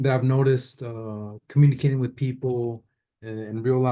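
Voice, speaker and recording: A man with an American accent, dark and mellow in tone, his intonation fairly even. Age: 30s. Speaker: political cartoonist. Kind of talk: casual chat. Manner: halting.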